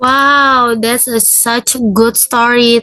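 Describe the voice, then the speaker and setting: A woman's high, bright and sharp voice with an Indonesian accent, flat and monotone, at a very slow pace. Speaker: teacher in micro teaching practice. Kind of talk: classroom teaching.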